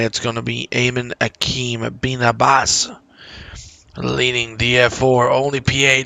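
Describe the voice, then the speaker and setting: Quiet and monotone, a man at medium pitch speaks flatly at a fairly slow pace over noticeable background noise. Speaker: sim racing commentator. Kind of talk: live commentary. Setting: home. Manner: quiet, low energy; hesitant, many fillers.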